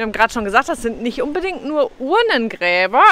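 Speaking at a fairly quick pace, a woman uses lively intonation in a dry sound with no echo. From western Germany, Münsterland (Kreis Borken, NRW); North Rhine-Westphalia, Germany. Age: 30s. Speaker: travel vlogger on a long-distance hike; travel vlogger. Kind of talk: casual travel vlog talk to camera. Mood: relaxed, cheerful. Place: open country. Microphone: phone near.

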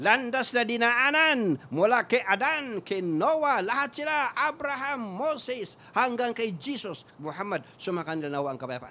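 An extremely high-pitched male voice, raised and projected, bright and sharp, fairly slow, with very wide pitch swings. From Philippines. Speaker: Islamic preacher and radio program host; Islamic preacher, radio program host. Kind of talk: religious lecture. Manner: animated. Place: studio. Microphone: studio mic.

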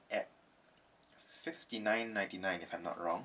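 Noticeable background noise sits behind a man as he talks. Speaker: unboxing vlogger. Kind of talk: casual unboxing commentary. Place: home room. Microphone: camera far.

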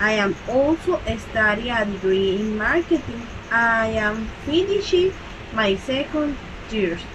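Through noticeable background noise, a woman speaks at a very slow pace with lively intonation. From El Salvador. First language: Spanish. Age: 20s. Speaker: bank teller. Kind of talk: self-introduction read aloud. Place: home room. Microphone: webcam.

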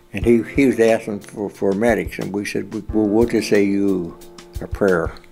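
A man's fairly low voice in a Western Pennsylvania accent, fairly even intonation and a moderate pace, with music in the background. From Rochester, Pennsylvania. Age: 80s+. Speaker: war veteran. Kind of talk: oral history interview answer.

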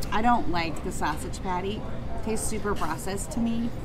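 Clear music plays in the background as a woman talks at a moderate pace with ordinary pitch variation. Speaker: food reviewer. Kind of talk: casual vlog chat. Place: cafe.

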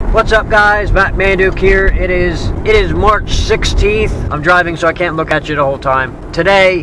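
Noticeable background noise surrounds a man who speaks at a moderate pace with hardly any pauses, the sound dry with no echo. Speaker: vlogger. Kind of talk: casual vlog chat. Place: car. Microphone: phone near.

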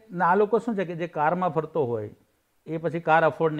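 A man's fairly high-pitched voice against a quiet background. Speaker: writer and journalist; journalist. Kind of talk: interview. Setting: informal get-together. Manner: soft-spoken. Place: home room. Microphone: lapel.

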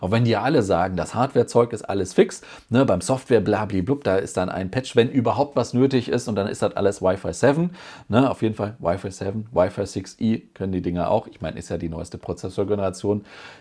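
A man speaks at a fairly quick pace in a dark, mellow tone. His pitch varies in an ordinary way over a quiet background. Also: fairly low pitch for a man. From Germany. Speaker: tech YouTuber; tech youtuber. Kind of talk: casual vlog report. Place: home room.

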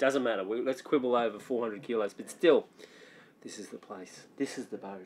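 A man's voice with a slightly husky edge, ordinary pitch variation and a moderate pace. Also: fairly low pitch for a man.

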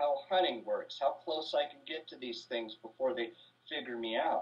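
This clip features a man. He talks at a moderate pace. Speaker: guest. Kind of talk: interview answer. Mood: animated, suspenseful telling. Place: home room. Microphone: video call.

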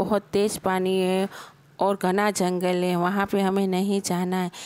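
In a monotone, flat delivery, a woman speaks at a very slow pace. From Gujarat, India. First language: Gujarati (speaking Hindi). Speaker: vlogger. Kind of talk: travel vlog narration; casual vlog narration. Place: waterside.

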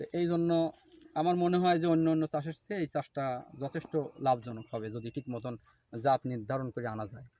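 A man speaks with a fairly high pitch, a dark, mellow tone and ordinary pitch variation. The sound is dry and close, with no echo. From Bangladesh, Kushtia district. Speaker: farmer. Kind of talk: interview. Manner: halting.

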